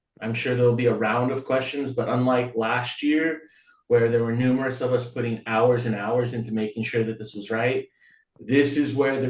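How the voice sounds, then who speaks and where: This man talks at a moderate pace in a medium pitch. His intonation is monotone and flat. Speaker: nonprofit board member handling finances. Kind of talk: board meeting report.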